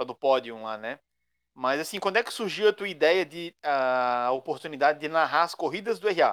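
A man with a normal speaking voice and fairly high pitch talks at a moderate pace with lively intonation, the sound dry and close with no echo on a very clean recording with a silent background. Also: big swings in loudness. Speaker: podcast co-host commentator and kart driver. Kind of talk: casual banter.

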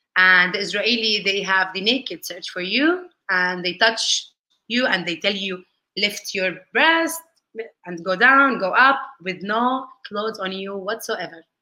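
Speaking with an Arabic accent, a woman talks at a fairly slow pace in a medium pitch, her tone bright and sharp, with ordinary pitch variation. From Palestine, raised across several countries. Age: 30s. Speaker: lawyer and political activist. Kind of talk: interview.

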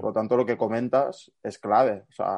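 In a dark, mellow tone at medium pitch, a man speaks with monotone, flat intonation. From Barcelona, Catalonia. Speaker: student and youth football fitness coach. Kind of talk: casual interview chat.

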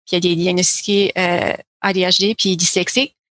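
In a normal speaking voice, a woman of medium pitch talks at a fairly slow pace, recorded with a dry, close sound with no echo against a quiet background. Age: 30s. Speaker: counselling therapist. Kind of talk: interview conversation.

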